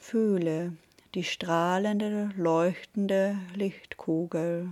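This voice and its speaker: A very slow pace, calm, soothing tone and monotone, flat intonation. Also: woman. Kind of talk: guided meditation. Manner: slow, calm, soothing, with long pauses; gentle, warm, intimate.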